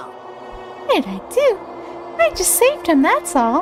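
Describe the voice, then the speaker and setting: Over clear background noise, a woman puts on a squeaky character voice at an extremely high pitch and a fairly slow pace. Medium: virtual streamer. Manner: playful, smug, feigning innocence.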